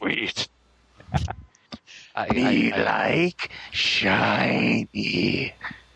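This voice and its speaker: A raspy, put-on character voice is used throughout. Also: man. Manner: gleeful, simple-minded.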